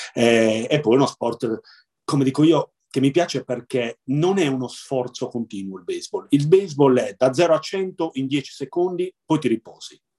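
This man's voice has a dark, mellow tone, a fairly high pitch and ordinary pitch variation. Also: moderate pace, dry, close sound with no echo. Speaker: blind baseball player and sports club president. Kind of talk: interview.

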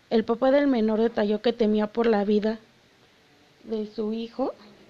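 A woman speaks at a fairly slow pace in a fairly high pitch. Her tone is dark and mellow, her intonation monotone and flat. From Mexico City. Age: 20s. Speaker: podcast host. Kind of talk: casual solo podcast talk.

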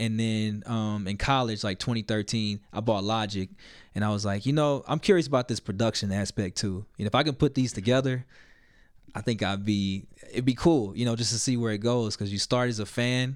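An ordinary speaking voice with an American accent moves at a moderate pace with fairly even intonation. The recording is very clean, with a silent background. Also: man. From US South, Little Rock, Arkansas. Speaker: hip-hop artist and producer. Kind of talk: casual interview.

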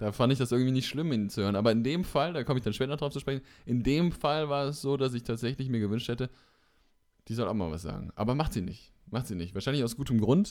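In a very clean recording with a silent background, a man speaks at a very fast pace with a medium pitch and lively intonation. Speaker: podcast co-host. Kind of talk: casual chat.

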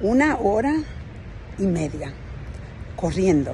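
A woman speaks at a very slow pace. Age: 50s. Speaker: motivational speaker. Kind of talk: motivational monologue.

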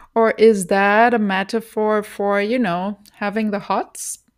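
A woman with a German accent speaks at a medium pitch and a fairly slow pace, on a very clean recording with a silent background. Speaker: podcaster. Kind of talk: solo podcast commentary. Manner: hesitant, many filler words.

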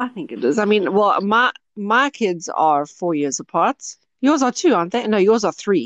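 In a dry, close recording with no echo, a woman of medium pitch talks at a moderate pace with very wide pitch swings. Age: 30s. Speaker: podcast host. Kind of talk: casual chat.

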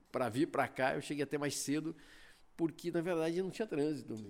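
A man talks in a normal speaking voice, fairly high for a man, with ordinary pitch variation. He keeps a fairly quick pace on a very clean recording with a silent background. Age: 50s. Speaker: media company sales director. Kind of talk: interview.

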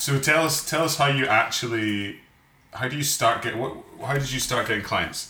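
Noticeable background noise sits behind a man speaking at a medium pitch with ordinary pitch variation. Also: moderate pace. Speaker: podcast co-host, wedding photographer. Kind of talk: casual chat.

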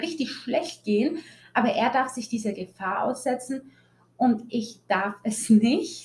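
A somewhat breathy woman's voice with very wide pitch swings, at a fairly slow pace. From Germany, Italian family. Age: 20s. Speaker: podcast host. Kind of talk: personal monologue. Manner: animated.

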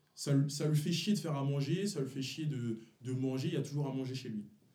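A man with a fairly high pitch and a dark, mellow tone speaks at a fairly quick pace, somewhat breathy and with ordinary pitch variation, amid audible room echo. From Paris region, Montfermeil (Seine-Saint-Denis). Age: 20s. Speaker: friend, small clothing brand founder. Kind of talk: casual chat.

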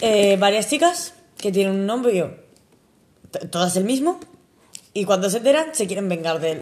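A woman talks at a fairly slow pace in a medium-pitched voice. Her pitch swings very widely. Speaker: podcast co-host. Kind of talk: casual chat. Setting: home.

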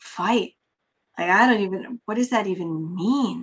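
A woman speaks at a medium pitch and a fairly slow pace. Her pitch variation is ordinary. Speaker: podcast host. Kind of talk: casual interview. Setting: video call. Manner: animated.

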